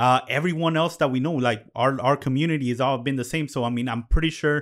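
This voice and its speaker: On a very clean recording with a silent background, a man with a plain, everyday voice speaks at a medium pitch, a fairly quick pace and with fairly even intonation. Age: 30s. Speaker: podcast producer and co-host. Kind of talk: casual chat.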